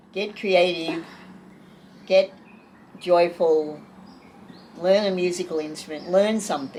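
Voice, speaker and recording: A woman talks fairly slowly in a fairly low pitch with fairly even intonation. She takes long, frequent pauses over noticeable background noise. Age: 70s. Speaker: artist and spiritual teacher. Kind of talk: interview conversation.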